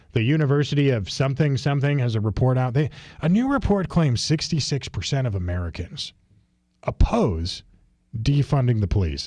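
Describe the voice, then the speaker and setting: Speaking at a fairly quick pace with a Midwestern accent, the voice is somewhat breathy with a dark, mellow tone. Very wide pitch swings stand out on a very clean recording with a silent background. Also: man. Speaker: radio talk show host. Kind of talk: live talk radio, reading listener comments. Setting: radio studio, live broadcast. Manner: casual, animated.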